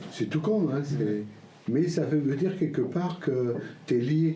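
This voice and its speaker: Amid noticeable background noise and audible room echo, a man speaks at a fairly slow pace with lively intonation. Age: 60s. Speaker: homesteader. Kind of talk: casual chat.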